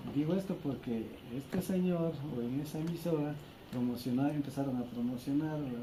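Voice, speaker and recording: Speaking at a fairly slow pace with lively intonation, a man is heard over noticeable background noise and audible room echo. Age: 60s. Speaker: community tourism guide. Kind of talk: interview. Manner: halting.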